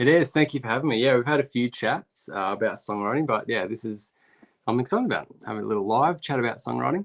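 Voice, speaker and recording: This man talks at a very fast pace with an Australian accent. His pitch is medium, with ordinary variation. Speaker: recording engineer and producer. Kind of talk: live stream interview. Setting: live video stream.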